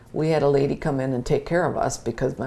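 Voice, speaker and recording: A woman speaks in an Upper Midwest accent. Her pace is fairly quick. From Wisconsin (Mount Calvary). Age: 70s. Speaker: interviewee. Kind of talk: oral history interview.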